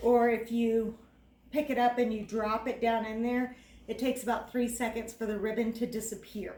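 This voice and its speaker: A woman with an American accent speaks at a moderate pace in a dark, mellow tone with monotone, flat intonation. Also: fairly high pitch for a woman. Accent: Texas accent, comes out on some words. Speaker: cooking video host. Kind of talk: cooking tutorial. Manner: casual, filler-heavy.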